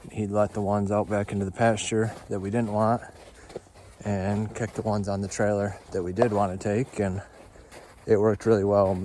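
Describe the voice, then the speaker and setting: Over noticeable background noise, a man speaks at a fairly low pitch in a monotone, flat intonation. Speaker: homesteader and cattle farmer. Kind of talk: casual vlog narration. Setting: outdoors.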